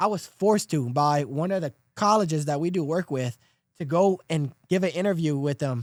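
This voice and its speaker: With a strong Louisiana accent, this man talks in an animated tone at a moderate pace, his pitch fairly high, the sound dry and close with no echo. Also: ordinary pitch variation. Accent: thick Louisiana. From South Louisiana. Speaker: podcast host. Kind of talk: casual chat.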